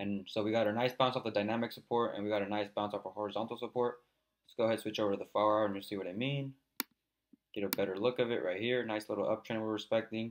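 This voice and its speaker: A man's fairly low voice at a very fast pace, monotone and flat, with big swings in loudness. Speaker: crypto trading video host. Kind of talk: technical analysis tutorial.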